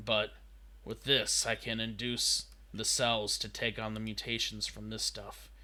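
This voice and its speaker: The voice is a put-on character, raspy in sound. Its delivery moves along at a moderate pace. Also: man. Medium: actual play. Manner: anxious.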